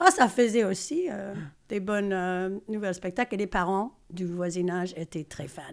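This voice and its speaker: Captured on a very clean recording with a silent background, the speaker has an English accent, a moderate pace and ordinary pitch variation. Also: woman, medium pitch for a woman. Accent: English-speaking accent in French. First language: English (speaking French). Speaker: choreographer and stage director. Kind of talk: podcast interview. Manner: hesitant, many fillers.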